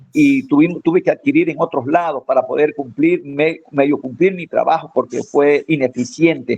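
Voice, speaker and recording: Hardly pausing, a man talks at a moderate pace with a fairly high pitch and ordinary pitch variation. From Ecuador, Manabí coast. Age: 60s. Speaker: farmer and former forestry promoter. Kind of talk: radio interview. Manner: halting, many fillers.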